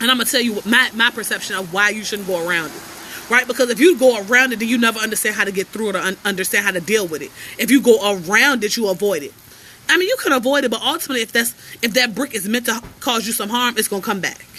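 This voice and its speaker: Over noticeable background noise, a woman talks at a very fast pace in a fairly high pitch, animated in tone with ordinary pitch variation. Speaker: life coach. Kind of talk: motivational livestream talk. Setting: outdoors on porch, livestream.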